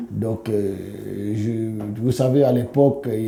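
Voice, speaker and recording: Fairly even intonation carries through audible room echo. Noticeable background noise is present too. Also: man. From Democratic Republic of the Congo. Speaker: musician. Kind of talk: interview. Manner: halting.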